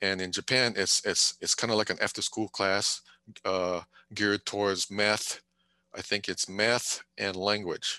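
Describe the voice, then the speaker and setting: In a Hawaiian accent, a man speaks with a fairly low pitch and monotone, flat intonation. The sound is dry and close, with no echo. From Hawaii, Big Island (Pahala, Kau district). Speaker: retired military, civil servant. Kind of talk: casual interview. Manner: hesitant, many fillers.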